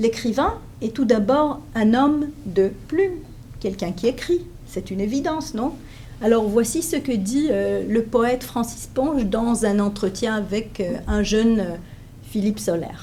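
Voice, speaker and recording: A woman's fairly high, lively voice at a fairly slow pace, with audible room echo. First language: Hebrew (speaking French). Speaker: professor. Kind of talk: lecture. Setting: conference room with audience. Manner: hesitant, many fillers.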